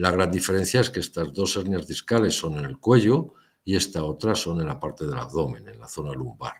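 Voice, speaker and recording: A man with a very deep, low voice and vocal fry speaks at a moderate pace, his loudness swinging widely and his pitch ranging very far, on a very clean recording with a silent background. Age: 60s. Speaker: lecturer. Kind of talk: lecture.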